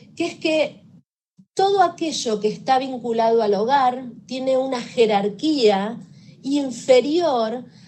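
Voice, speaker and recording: Audible room echo surrounds the voice. A woman talks at a fairly slow pace. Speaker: victim assistance professional. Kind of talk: lecture.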